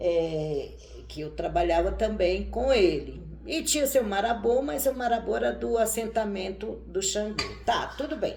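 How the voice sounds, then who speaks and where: A woman speaking at a fairly slow pace, with audible room echo. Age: 60s. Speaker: tarot reader and witch. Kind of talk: casual chat.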